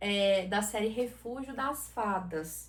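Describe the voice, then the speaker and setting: A woman with a Goiás accent speaks in a fairly high, somewhat breathy voice with ordinary pitch variation. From southern Brazil, Santa Catarina. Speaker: book YouTuber. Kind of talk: casual book review vlog. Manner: animated.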